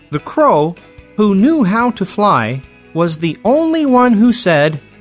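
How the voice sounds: A woman speaks slowly at a medium pitch, her voice swinging widely up and down. Faint music plays in the background.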